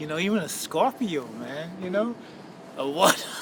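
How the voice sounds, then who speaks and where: Noticeable background noise sits under a man with a high pitch. He talks at a fairly slow pace with very wide pitch swings. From Bahamas. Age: 60s. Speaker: unhoused man living on Skid Row. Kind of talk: interview answer.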